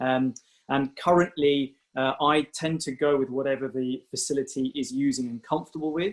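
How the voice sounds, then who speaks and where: Speaking with a British accent, a man uses a fairly high voice at a moderate pace with fairly even intonation. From UK. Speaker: doctor. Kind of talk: webinar presentation. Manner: hesitant, many fillers.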